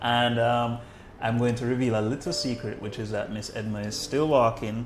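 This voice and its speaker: Flat, monotone intonation at a moderate pace over background music. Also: man, medium pitch for a man. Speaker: medical doctor, podcast host. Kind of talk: podcast interview, casual conversation.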